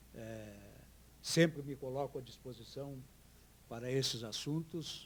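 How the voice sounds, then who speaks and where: A man's somewhat breathy voice, medium in pitch, with fairly even intonation at a fairly slow pace. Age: 70s. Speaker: retired high court labour judge. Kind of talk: improvised panel talk. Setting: symposium panel with audience. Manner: formal.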